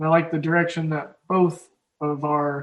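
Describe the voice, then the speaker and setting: Someone with an Oklahoma accent speaks at a fairly slow pace. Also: man. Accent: Oklahoma drawl. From Oklahoma, US Midwest. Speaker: sports betting podcast host. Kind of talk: casual chat. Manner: halting.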